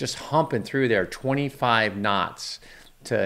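A man with a plain, everyday voice, a fairly slow pace and ordinary pitch variation. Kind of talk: commentary. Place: office. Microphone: studio mic.

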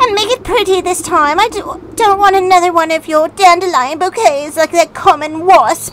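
In a put-on character voice with a shrill edge, a female-sounding voice speaks at extremely high pitch and a moderate pace over clear background noise. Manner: bossy, imperious.

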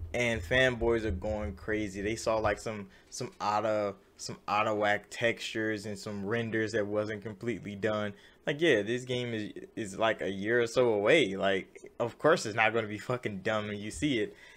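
A man's fairly low-pitched voice with fairly even intonation. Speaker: gaming news YouTuber. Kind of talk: angry rant, profane and sarcastic, venting about leakers. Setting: solo video commentary. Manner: heated, fast and loud, swearing and exasperated; casual, conversational, filler-heavy. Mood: dismissive of fanboys, amused. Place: home room. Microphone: webcam.

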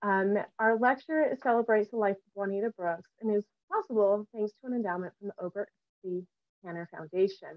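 Over a quiet background, a woman speaks at a fairly quick pace with ordinary pitch variation, big swings in loudness, and a dry sound with no echo. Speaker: lecture host. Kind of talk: introduction reading a bio. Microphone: video call.

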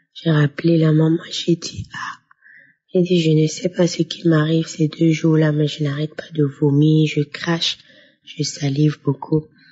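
Someone speaks at a very slow pace in a somewhat breathy voice with monotone, flat intonation. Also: woman. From Burkina Faso. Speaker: testimony giver. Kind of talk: testimony.

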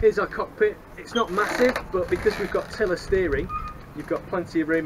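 Delivered at a fairly quick pace, the speech sits over noticeable background noise. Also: man. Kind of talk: tour guide vlog. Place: boat. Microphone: phone near.

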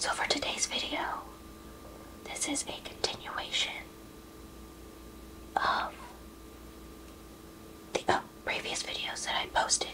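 A fairly slow whisper broken by long, frequent pauses. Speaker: ASMR creator. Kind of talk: ASMR craft narration. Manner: whispered. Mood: calm, relaxed.

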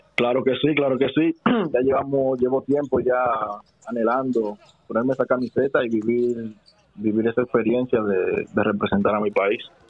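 Over noticeable background noise, a man talks at a moderate pace in a medium pitch, with very even loudness and fairly even intonation. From Dominican Republic, Santo Domingo. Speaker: professional basketball player. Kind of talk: interview. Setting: phone call.

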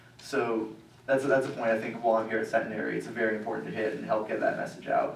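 A man speaks in a room with audible echo. Light background noise can be heard. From Louisiana. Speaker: activist. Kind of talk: public talk. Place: hall.

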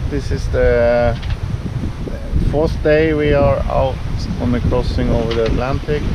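The sound is dry with no echo, but background noise is loud. The pace is very slow. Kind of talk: casual vlog chat. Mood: calm, content. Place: boat. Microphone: phone near.

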